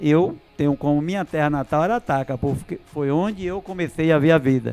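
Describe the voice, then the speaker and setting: Ordinary pitch variation at a moderate pace, with music in the background. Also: man, fairly high pitch for a man. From Bahia, Brazil. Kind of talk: casual chat.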